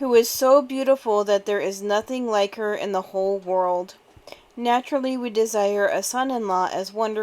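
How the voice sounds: Ordinary pitch variation runs through the clip. It is a natural reading voice.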